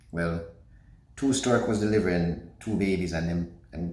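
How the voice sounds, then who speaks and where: A man's very deep, low voice, somewhat breathy, with a Jamaican accent, ordinary pitch variation, a moderate pace and audible room echo. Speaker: promoter telling his life story. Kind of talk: personal storytelling.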